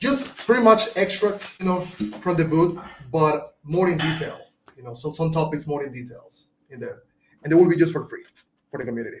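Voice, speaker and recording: The speech runs at a fairly quick pace with lively intonation and big swings in loudness. Long, frequent pauses break it up. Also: man, high pitch for a man. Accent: Venezuelan. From Venezuela. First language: Spanish. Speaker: marketing agency owner. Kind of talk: podcast interview answer.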